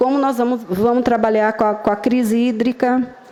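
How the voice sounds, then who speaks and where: Noticeable background noise accompanies a woman talking at a high pitch. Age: old. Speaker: urban planning consultant. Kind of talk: public hearing presentation. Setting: public hearing with live audience. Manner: halting.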